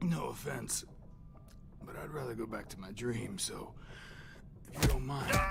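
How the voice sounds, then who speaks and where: A man doing a put-on character voice speaks at a moderate pace with long, frequent pauses over clear background noise. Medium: machinima. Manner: drawling, mocking.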